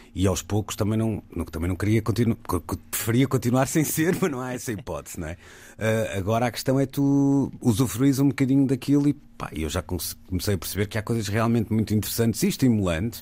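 With a dark, mellow tone and lively intonation, a man speaks at a fairly quick pace on a very clean recording with a silent background. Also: medium pitch for a man. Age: 40s. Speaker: radio host. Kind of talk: casual chat.

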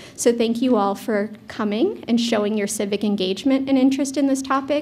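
A dark, mellow, somewhat breathy voice moves at a moderate pace with ordinary pitch variation. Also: woman. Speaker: moderator. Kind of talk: opening remarks and housekeeping. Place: hall.

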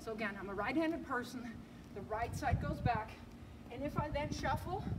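Noticeable background noise sits beneath a woman speaking at a moderate pace. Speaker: tennis coach. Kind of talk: tutorial. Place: street. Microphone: camera far.

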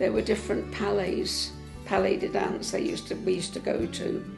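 Clear music plays in the background. Over it, a woman talks at a moderate pace. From England. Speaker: interviewee. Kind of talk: interview answer. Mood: warm, reminiscing. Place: home room. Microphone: lapel.

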